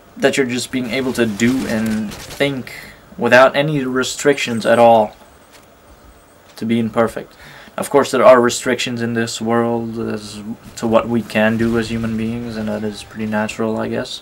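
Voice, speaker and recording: A man with a non-native accent speaks at a medium pitch and a moderate pace in a monotone, flat intonation, with noticeable background noise behind him. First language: not English. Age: 20s. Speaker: gaming YouTuber. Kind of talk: gameplay commentary with personal reflection. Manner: hesitant, many fillers.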